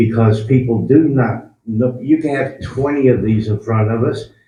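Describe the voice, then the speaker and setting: Medium-pitched male speech with fairly even intonation and audible room echo. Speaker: town council member. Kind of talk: town council meeting discussion. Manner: loud.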